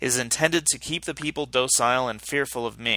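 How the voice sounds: A natural reading voice is heard. The voice reads naturally from start to finish.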